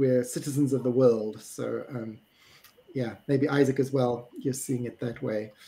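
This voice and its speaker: A man speaks with a South African accent. His pace is fairly slow. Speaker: webinar moderator. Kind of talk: panel discussion. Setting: live stream.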